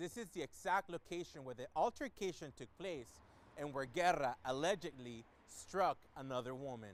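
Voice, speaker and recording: With an unremarkable speaking voice and an American accent, a man talks at a moderate pace in a fairly high pitch with lively intonation. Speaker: news reporter. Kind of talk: TV news report.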